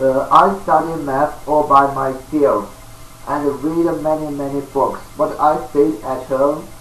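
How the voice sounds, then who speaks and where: Over noticeable background noise and audible room echo, a man with a fairly high pitch speaks at a very slow pace with fairly even intonation. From China. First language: Chinese. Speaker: self-taught mathematician, video lecturer. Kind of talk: lecture. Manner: halting, many fillers.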